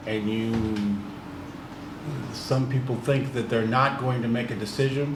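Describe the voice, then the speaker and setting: In a room with audible echo and noticeable background noise, a man speaks at medium pitch with monotone, flat intonation, a fairly slow pace and long, frequent pauses. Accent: American. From US Midwest, East St. Louis, Illinois. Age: 60s. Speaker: business owner. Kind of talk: podcast interview.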